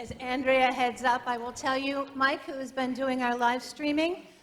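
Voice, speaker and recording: A loud woman speaks at a moderate pace in a high pitch, her intonation fairly even. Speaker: meeting moderator. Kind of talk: meeting announcements. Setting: church meeting with live stream.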